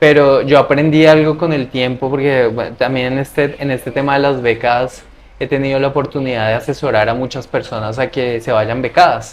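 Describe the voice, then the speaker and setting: At a moderate pace with hardly any pauses, a man with an ordinary speaking voice talks at medium pitch with fairly even intonation. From Latin America. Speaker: scholarship adviser and traveler. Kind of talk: interview.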